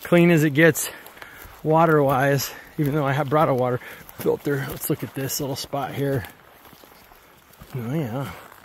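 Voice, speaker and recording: A man talks at a moderate pace with fairly even intonation and long, frequent pauses. The sound is dry with no echo, over light background noise. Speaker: tour guide. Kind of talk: casual vlog chat. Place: forest. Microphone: helmet.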